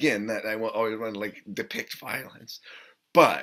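Against a quiet background, a man speaks at a moderate pace in a bright, sharp tone. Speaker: actor interviewee. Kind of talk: interview answer. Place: home room.

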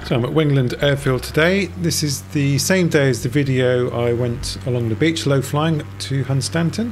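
Music plays in the background as a man talks at a moderate pace with ordinary pitch variation and hardly any pauses. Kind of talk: narrated travel commentary.

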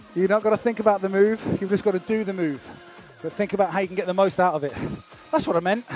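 Over faint music, a man speaks very fast in a high pitch with ordinary pitch variation, the sound dry with no echo. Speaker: fitness instructor. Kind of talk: workout class instruction. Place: studio.

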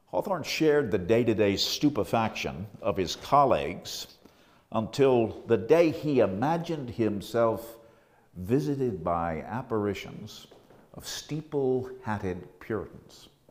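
This man talks at a fairly slow pace, his pitch swinging very widely. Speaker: lecturer. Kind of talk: scripted academic lecture narration, with a Hawthorne passage read aloud. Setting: on location in the Salem Custom House. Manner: measured, formal, even-paced. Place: home room. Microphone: lapel.

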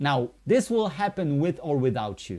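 Speaking at a fairly slow pace in a Polish accent, the voice swings very widely in pitch. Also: man, quiet background. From Poland. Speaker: network marketing presenter; presenter. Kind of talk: sales pitch. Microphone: webcam.

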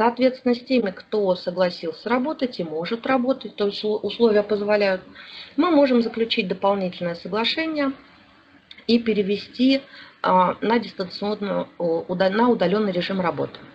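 A woman's fairly high voice with ordinary pitch variation at a moderate pace, over noticeable background noise. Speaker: HR consultant and seminar lecturer. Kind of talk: online seminar lecture. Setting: online webinar. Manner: hesitant, many filler sounds.

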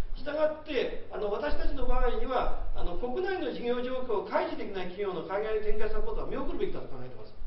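In a room with audible echo and light background noise, a man with an extremely high pitch talks very fast with hardly any pauses and very wide pitch swings. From Japan. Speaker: retired trading company executive, SME consultant. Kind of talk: lecture. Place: meeting room.

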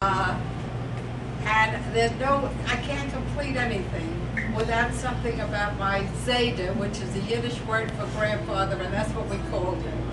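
At a moderate pace, a woman talks through loud background noise. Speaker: birthday honoree. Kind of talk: speech at a birthday party. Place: hall. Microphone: camera far.

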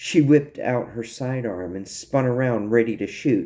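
The recording is plain reading aloud, and its pitch moves in an ordinary way.

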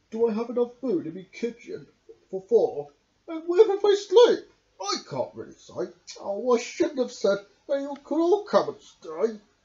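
A man's put-on character voice at an extremely high pitch, with very wide pitch swings and a moderate pace

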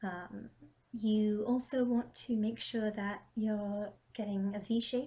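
Her voice is somewhat breathy, with a dark, mellow tone. The woman speaks at a medium pitch. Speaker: cosplayer. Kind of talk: craft tutorial to camera. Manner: casual, hesitant.

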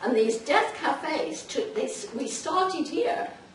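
Light background noise and audible room echo surround a woman who speaks at a fairly slow pace. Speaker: presenter, pastoral counselor. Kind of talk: informal talk to audience. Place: meeting room. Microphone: camera far.

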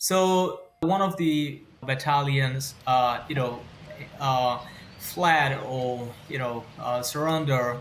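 There is light background noise. A man speaks at a very slow pace. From Myanmar. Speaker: journalist in exile. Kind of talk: interview. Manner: halting. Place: home room.

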